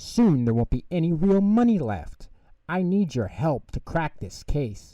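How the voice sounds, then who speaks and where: Putting on a character voice, a man speaks at a moderate pace in a fairly high pitch with very wide pitch swings. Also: quiet background. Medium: read story.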